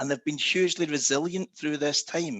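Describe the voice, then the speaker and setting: With lively intonation, a man talks fairly quickly in a fairly high pitch. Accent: Scottish. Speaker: travel company executive. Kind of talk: panel discussion.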